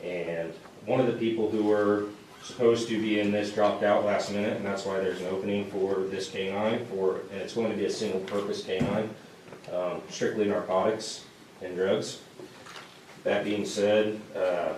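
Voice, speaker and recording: A man speaks at a moderate pace in a fairly low, monotone, flat voice that is shaky and has a nervous tone, with long, frequent pauses. Noticeable background noise and audible room echo surround him. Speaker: police officer. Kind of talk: public presentation at council meeting. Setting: town council meeting. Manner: nervous, shaky delivery; halting, many fillers.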